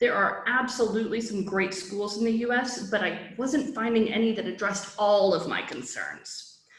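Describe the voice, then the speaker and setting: Audible room echo surrounds a woman who speaks with an American accent at a fairly high pitch. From US Midwest, Chicago. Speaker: founder of a study-abroad resource. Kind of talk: presentation. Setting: online virtual summit. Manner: fast.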